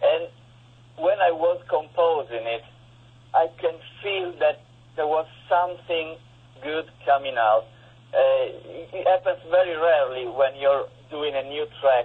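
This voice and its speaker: A man with an Italian accent speaks in a fairly high voice. He leaves long, frequent pauses. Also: ordinary pitch variation. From Italy. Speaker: guitarist and composer. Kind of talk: interview. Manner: halting.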